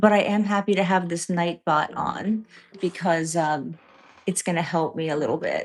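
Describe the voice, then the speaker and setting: With an American accent, a woman speaks at a moderate pace and a fairly low pitch. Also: fairly even intonation. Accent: part New York, part New England. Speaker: live stream host. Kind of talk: casual chat with live chat viewers.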